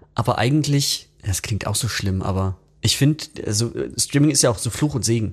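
A man speaks in a somewhat breathy voice with ordinary pitch variation. He leaves long, frequent pauses. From western Germany, Bergisches Land. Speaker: rock musician. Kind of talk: casual chat.

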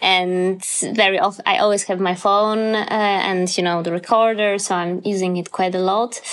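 A woman speaks in a Polish accent. Her intonation is monotone and flat. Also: medium pitch for a woman, moderate pace. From Poland. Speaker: pianist and composer. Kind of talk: interview. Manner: halting, many fillers.

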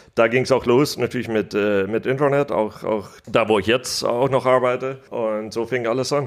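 Fairly even intonation from a man, medium in pitch and fairly quick in pace. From United States. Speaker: business angel investor. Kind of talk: interview.

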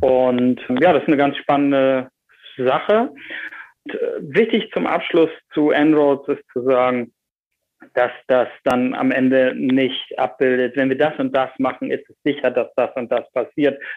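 A man at a fairly slow pace, fairly high in pitch. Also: ordinary pitch variation. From northern Germany, Bremen. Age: 40s. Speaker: energy industry executive. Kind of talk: interview.

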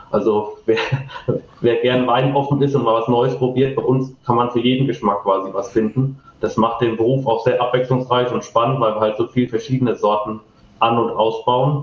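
Noticeable background noise sits behind a man speaking at a moderate pace and medium pitch. His intonation is fairly even and his loudness very even. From Rheinhessen, Germany (Ingelheim). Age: 20s. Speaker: winemaker. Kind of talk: interview.

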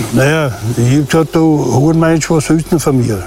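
A man speaks at a fairly slow pace with ordinary pitch variation. There is noticeable background noise. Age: 70s. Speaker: crime victim, retired taxi driver. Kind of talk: interview. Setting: outdoors.

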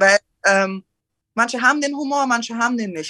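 The woman's voice has a bright, sharp tone and a fairly high pitch. She speaks at a fairly quick pace with ordinary pitch variation. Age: 20s. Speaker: rapper. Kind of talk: casual chat.

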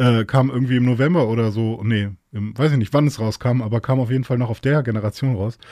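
A man's somewhat breathy, medium-pitched voice with a dark, mellow tone, dry and close with no echo, on a very clean recording with a silent background. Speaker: podcast guest. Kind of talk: casual chat.

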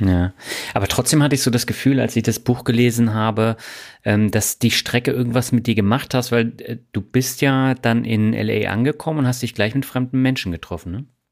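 A man speaks at a medium pitch and moderate pace with a plain, everyday voice. His intonation is fairly even, and the recording is very clean with a silent background. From Germany. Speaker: podcast host. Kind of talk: interview; scripted narration.

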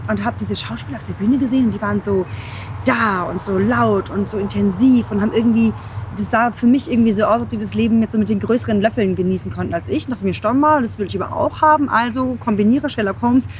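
This woman talks at a very fast pace. Background noise is noticeable. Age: 30s. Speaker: podcast host, pitch coach. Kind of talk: interview, casual chat. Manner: animated, enthusiastic.

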